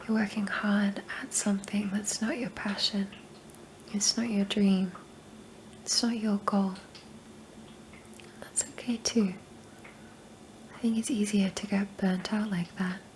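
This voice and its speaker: Soft-spoken and monotone, a woman with a medium pitch talks at a fairly slow pace with flat intonation and long, frequent pauses over noticeable background noise. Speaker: ASMR creator. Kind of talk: ASMR personal attention affirmations.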